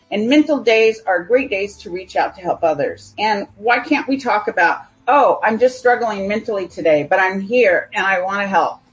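A woman with a normal speaking voice talks at a moderate pace, her fairly high pitch moving in lively intonation. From California. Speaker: software developer. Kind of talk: interview.

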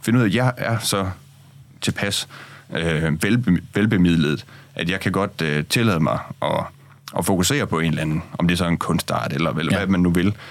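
A man's voice sits very deep and low. He keeps a moderate tempo, and his pitch moves in an ordinary way. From Denmark, Aarhus. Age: 20s. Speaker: opinion writer. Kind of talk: radio discussion. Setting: studio.

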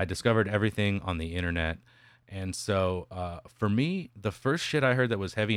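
A man with an American accent and a normal speaking voice talks at a fairly low pitch and a fairly quick pace, with lively intonation. The recording is very clean, with a silent background. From West Texas. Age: 30s. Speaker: metal musician. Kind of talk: casual chat.

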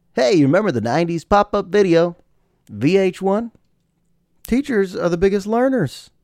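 A man is speaking. His tone is animated. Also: very clean recording, silent background. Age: 30s. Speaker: podcast host and high school teacher. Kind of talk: casual solo monologue. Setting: home.

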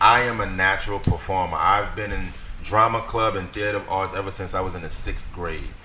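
Fairly quick speech from a man with audible room echo. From New Orleans, Louisiana. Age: 30s. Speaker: battle rapper. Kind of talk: casual chat.

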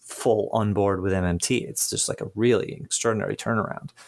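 Using fairly even intonation, a man with a plain, everyday voice and a fairly low pitch talks at a moderate pace. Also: very clean recording, silent background. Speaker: podcast host. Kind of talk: interview conversation with scripted intro.

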